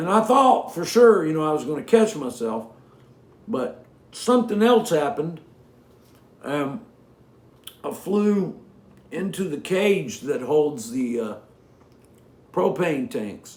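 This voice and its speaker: A man's high-pitched voice at a very slow pace, with very wide pitch swings, long and frequent pauses, and audible room echo. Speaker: singer-songwriter. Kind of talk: casual chat between songs on a livestream. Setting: home livestream from living room. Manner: halting, many fillers and cut-off sentences.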